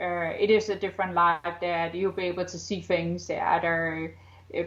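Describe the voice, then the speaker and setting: Against a quiet background, a woman speaks at a fairly low pitch in a monotone, flat intonation. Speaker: psychic author. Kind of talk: interview. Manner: halting, many fillers; deliberately slowed.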